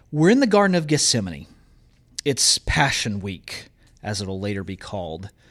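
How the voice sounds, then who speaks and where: With a Southern US accent, a man speaks at a fairly low pitch, his voice making very wide pitch swings and big jumps in loudness. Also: moderate pace, very clean recording, silent background. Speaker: college professor. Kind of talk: Bible teaching.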